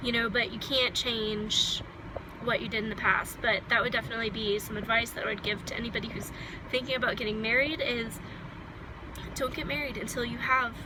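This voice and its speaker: Fairly even intonation moves at a fairly quick pace, with audible room echo and noticeable background noise. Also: woman. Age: 20s. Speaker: vlogger. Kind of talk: personal vlog monologue. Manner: casual, with many fillers.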